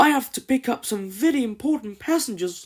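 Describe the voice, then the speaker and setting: Recorded very cleanly against a silent background, a high-pitched put-on character voice speaks at a fairly quick pace. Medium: read story. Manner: breathless, hurried.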